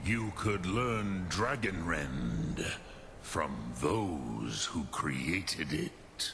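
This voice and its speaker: Clear background noise accompanies a man who puts on a character voice with a very deep, low pitch at a very slow pace. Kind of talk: ancient mystical teacher. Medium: video game. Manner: slow, solemn, measured.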